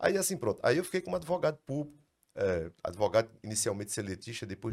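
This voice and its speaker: Very clean with a silent background, the recording carries lively intonation at a fairly quick pace. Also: man. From Brazil, Ceará interior. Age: 60s. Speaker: lawyer, law firm founder. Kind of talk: casual interview chat.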